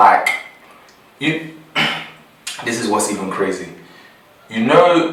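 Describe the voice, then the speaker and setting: A man with a London accent speaks with lively intonation. Noticeable background noise and audible room echo fill the recording. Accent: London English with Nigerian roots. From Nigeria, then London. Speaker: podcast co-host. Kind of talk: casual chat.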